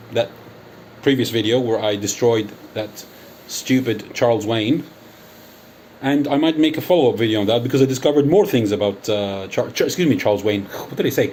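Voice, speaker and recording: A man's medium-pitched speech shows ordinary pitch variation, with noticeable background noise present. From United Kingdom. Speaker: YouTuber. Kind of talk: angry call-out monologue. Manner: animated.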